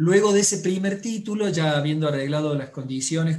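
Somewhat breathy, a man with a fairly high pitch talks in a room with audible echo. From Córdoba, Argentina. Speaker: book publisher and tango teacher. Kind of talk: casual chat.

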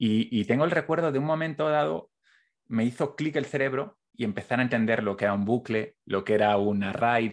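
A normal speaking voice at a fairly quick pace, with lively intonation and a quiet background. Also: man. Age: 30s. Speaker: podcast host. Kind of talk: interview conversation.

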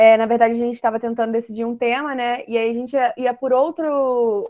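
Heard with a dry, close sound and no echo, a woman talks at a moderate pace in a normal speaking voice, her fairly high pitch following a fairly even intonation. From Rio de Janeiro, Brazil. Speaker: literature student, discussion host. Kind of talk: online discussion panel.

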